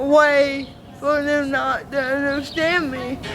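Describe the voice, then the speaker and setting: In an American accent, a woman speaks at a high pitch and very slow pace against noticeable background noise. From Alaska. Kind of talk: interview.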